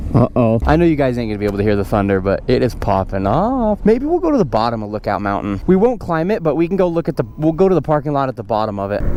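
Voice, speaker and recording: Rushing at a very fast pace with hardly any pauses, a man at medium pitch swings his pitch very widely over noticeable background noise. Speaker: motovlogger. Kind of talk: casual vlog narration while riding. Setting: outdoors riding an e-bike. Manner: animated.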